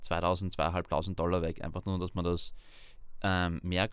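The recording is very clean with a silent background as a man speaks in a monotone, flat intonation at a moderate pace. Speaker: university student. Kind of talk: interview.

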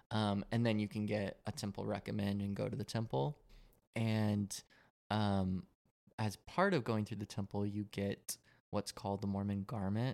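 A man with an American accent talks at a moderate pace in an ordinary speaking voice, his fairly low pitch held in fairly even intonation on a very clean recording with a silent background. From Colorado, suburban. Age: 20s. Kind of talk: casual chat.

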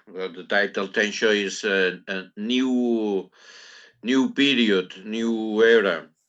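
The voice, with a Catalan accent, moves at a very slow pace with fairly even intonation. Loudness swings widely against a quiet background. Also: man, fairly low pitch for a man. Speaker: poet. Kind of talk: interview. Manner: halting.

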